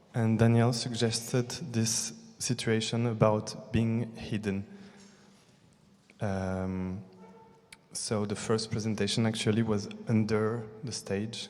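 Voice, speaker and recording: A man with a medium-pitched voice speaks very slowly in a flat monotone, leaving long, frequent pauses over music in the background. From France and Brazil. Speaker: theatre artist. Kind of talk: post-show audience discussion. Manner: halting.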